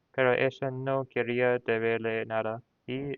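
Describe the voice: Against a quiet background, plain reading aloud unfolds with fairly even intonation.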